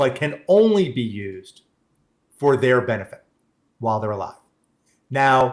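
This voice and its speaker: A man with a New York accent, medium pitch and a fairly slow pace. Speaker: benefits planning presenter. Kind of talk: workshop presentation with Q&A. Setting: live-streamed online webinar. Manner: halting, frequent restarts.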